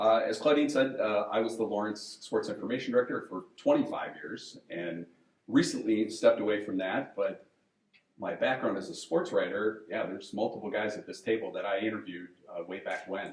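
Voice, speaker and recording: Speaking at a fairly quick pace, a man shows big swings in loudness. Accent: American. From Wisconsin (Menasha). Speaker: moderator, retired sports information director. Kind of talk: panel moderation introductions. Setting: event room with audience, no microphone.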